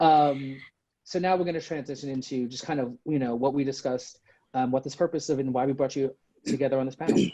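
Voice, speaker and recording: A man at a fairly high pitch with a dark, mellow tone, fairly even intonation, and a very fast pace. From New York City. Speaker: design professor, panel moderator. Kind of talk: panel introduction, partly scripted.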